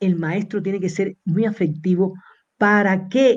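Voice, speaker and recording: A woman talks at a very slow pace. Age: 60s. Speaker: university professor. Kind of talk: interview lecture.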